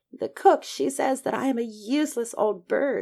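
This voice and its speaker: This is a put-on character voice with a growling sound. It moves at a moderate pace. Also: female-sounding voice, high pitch for a woman. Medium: read story. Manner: loud.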